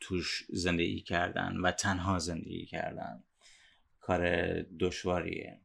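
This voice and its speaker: Very deep and low, a man's voice comes through in monotone, flat intonation at a very slow pace. The recording is very clean, with a silent background. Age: 30s. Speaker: podcast host. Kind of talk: personal monologue. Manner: soft-spoken.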